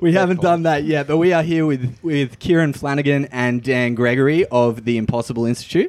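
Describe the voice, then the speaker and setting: In an Australian accent, a man talks at a fairly quick pace with hardly any pauses. His pitch is fairly high, with ordinary variation, and his loudness stays very even. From Hervey Bay, Queensland, Australia. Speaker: podcast host. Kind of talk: casual interview. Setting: cafe.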